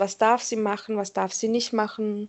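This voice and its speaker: At a moderate pace, a woman talks in an unremarkable speaking voice pitched fairly high. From Berlin, Germany. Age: 30s. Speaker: pharmacy commercial assistant. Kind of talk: interview.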